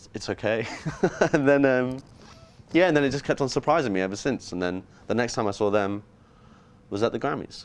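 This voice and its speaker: Talking at a fairly quick pace but with long, frequent pauses, a man with an English accent holds a medium pitch with ordinary pitch variation. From England, near London. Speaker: musician. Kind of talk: interview. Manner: casual.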